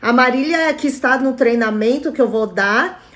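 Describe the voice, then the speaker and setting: A woman's high-pitched voice moves at a moderate pace, its pitch varying in an ordinary way. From Brazil, Chinese immigrant family. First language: Mandarin (speaking Portuguese). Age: 40s. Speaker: traditional Chinese medicine therapist. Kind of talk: live stream talk with viewer comments.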